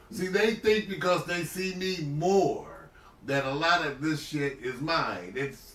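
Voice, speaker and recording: Noticeable background noise and audible room echo accompany a man's voice. He speaks very slowly with a high pitch and lively intonation. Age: 60s. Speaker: livestream host, retired physician. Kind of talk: casual chat. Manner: animated.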